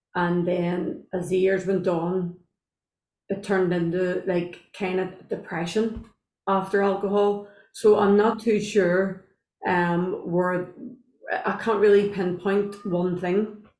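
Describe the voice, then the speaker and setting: A woman speaks very slowly in an Irish accent. Her medium pitch stays monotone and flat. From Northern Ireland, Belfast. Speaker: guest sharing sobriety story. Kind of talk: podcast interview, personal testimony. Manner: hesitant, many fillers.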